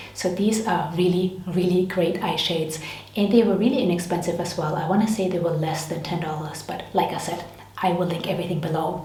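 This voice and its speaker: Room echo is audible, along with noticeable background noise. A woman speaks at a fairly quick pace and a fairly low pitch. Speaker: beauty and lifestyle vlogger. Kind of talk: casual product review vlog. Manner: fast when excited; animated.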